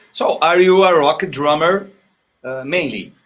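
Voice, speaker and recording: Speaking very slowly with a Portuguese accent, the man lets his pitch swing very widely. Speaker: live stream host. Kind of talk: interview. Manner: halting.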